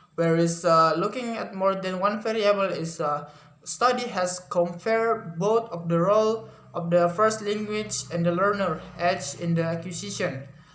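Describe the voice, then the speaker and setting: A man speaks at a moderate pace with a high pitch and an Indonesian accent, his pitch varying in an ordinary way amid audible room echo. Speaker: university student. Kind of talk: class presentation. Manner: halting, many fillers and self-corrections.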